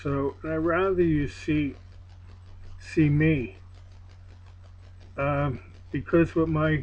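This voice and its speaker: In an American accent, a man talks very slowly with long, frequent pauses, his fairly high pitch showing ordinary variation. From Pennsylvania. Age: 60s. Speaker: cross-country roller skater, video blogger. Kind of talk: personal video diary monologue. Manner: halting, with many fillers.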